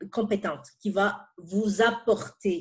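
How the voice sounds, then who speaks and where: Somewhat breathy, this is a woman's voice. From outside Quebec, francophone immigrant. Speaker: pharmaceutical senior manager. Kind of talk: interview. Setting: podcast. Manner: halting, many repetitions.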